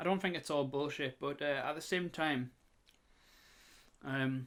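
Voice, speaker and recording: In a strong northeast English accent, the speaker talks at a fairly slow pace with a relaxed tone and fairly even intonation, on a very clean recording with a silent background. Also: man. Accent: strong northeast England. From northeast England. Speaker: artist and YouTuber. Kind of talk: casual monologue. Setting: home, voice recorder. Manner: rambling, hesitant with fillers.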